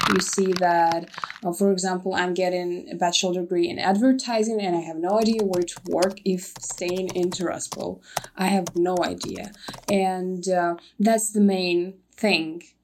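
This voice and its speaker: Noticeable background noise sits behind a woman of medium pitch. She keeps a moderate pace and fairly even intonation. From Transnistria. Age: young. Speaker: university student. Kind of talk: casual interview chat.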